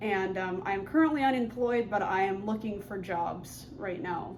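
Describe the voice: At a moderate pace, a woman speaks at medium pitch with ordinary pitch variation.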